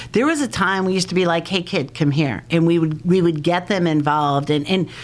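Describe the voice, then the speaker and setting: A woman talks at a fairly quick pace in an ordinary speaking voice, fairly low in pitch with ordinary pitch variation. Her loudness stays very even. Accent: American. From New York (Long Island, Hamptons). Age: 50s. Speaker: prevention and recovery educator. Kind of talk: podcast interview.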